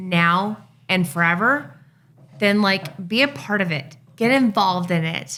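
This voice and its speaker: A woman's bright, sharp, medium-pitched voice with lively intonation at a fairly slow pace. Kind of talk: casual chat.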